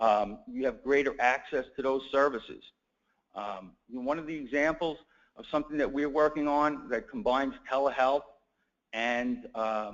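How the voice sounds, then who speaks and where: A moderate pace with ordinary pitch variation, in a New York accent. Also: man, fairly high pitch for a man. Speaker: healthcare attorney. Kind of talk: conference talk.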